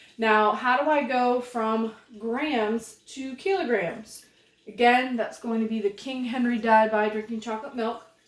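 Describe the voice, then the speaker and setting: A woman talks at a fairly slow pace. It is an ordinary speaking voice with ordinary pitch variation. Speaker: chemistry teacher. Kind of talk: tutorial. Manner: casual.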